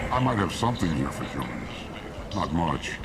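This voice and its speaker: Through loud background noise, a man puts on a character voice pitched very deep and low. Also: moderate pace. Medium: machinima. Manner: terse, hostile toward humans.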